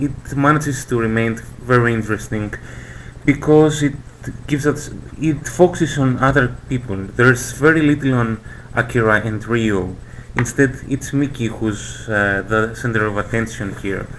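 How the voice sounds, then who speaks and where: Noticeable background noise accompanies a man with a non-native accent. He speaks at a moderate pace and medium pitch with ordinary pitch variation. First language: not English. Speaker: manga fan presenter. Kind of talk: casual video presentation. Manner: hesitant, many fillers.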